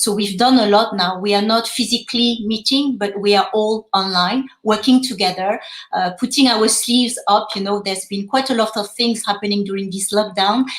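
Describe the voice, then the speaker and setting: A woman with a French accent speaks at a moderate pace and fairly high pitch, with fairly even intonation and hardly any pauses. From France. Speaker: fintech education co-founder. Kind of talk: panel discussion. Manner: halting, many fillers.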